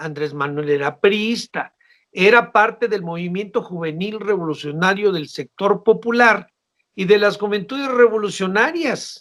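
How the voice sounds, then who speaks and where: A man talks at a fairly slow pace. His high-pitched voice has lively intonation. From northern Mexico, Baja California (Ensenada). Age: 60s. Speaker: political analyst. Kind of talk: interview.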